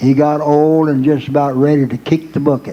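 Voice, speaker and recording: A man with a Southern US accent speaks at a fairly high pitch. His intonation stays fairly even, and his pace is fairly slow. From Arkansas. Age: 80s+. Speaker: country music performer. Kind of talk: stage banter and joke telling.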